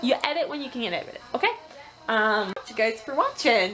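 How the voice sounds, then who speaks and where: A woman's voice competes with loud background noise. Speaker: family vlogger. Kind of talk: casual vlog chat. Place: home room. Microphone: phone near.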